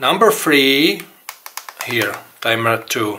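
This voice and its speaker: A man with a Czech accent talks at a very slow pace. His pitch sits in the medium range. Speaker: RC hobby tutorial maker. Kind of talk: tutorial. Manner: halting.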